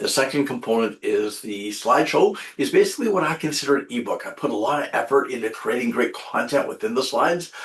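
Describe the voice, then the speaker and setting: With noticeable background noise behind him, a man talks at a very fast pace with hardly any pauses. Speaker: municipal education trainer, webinar presenter. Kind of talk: webinar presentation. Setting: online webinar.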